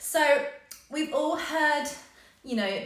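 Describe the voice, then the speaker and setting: The speaker is a woman. There is audible room echo. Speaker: yoga business coach. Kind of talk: live coaching session. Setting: live stream. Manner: fast.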